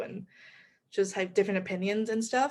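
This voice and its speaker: At a fairly quick pace, a woman speaks in a plain, everyday voice of medium pitch with fairly even intonation. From Taiwan. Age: young. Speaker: college student, amateur actor. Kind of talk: casual chat.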